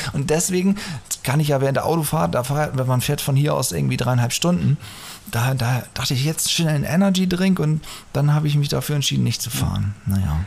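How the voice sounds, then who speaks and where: There is noticeable background noise as a man talks at a fairly quick pace. His voice is fairly high-pitched with lively intonation. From northern Germany. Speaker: podcast host. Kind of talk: casual chat. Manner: fast. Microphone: echoey, cave-like sound.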